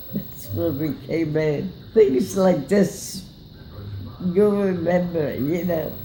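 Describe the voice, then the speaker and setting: A woman speaks at a very slow pace in a fairly low voice with ordinary pitch variation. Long, frequent pauses break her speech, and noticeable background noise is present. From grew up in Europe, Austria. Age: 80s+. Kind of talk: interview answer.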